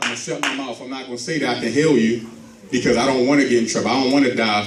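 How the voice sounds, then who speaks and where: Audible room echo surrounds a man as he talks. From Baltimore, Maryland. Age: 30s. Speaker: motivational speaker. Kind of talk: church speech. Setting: church.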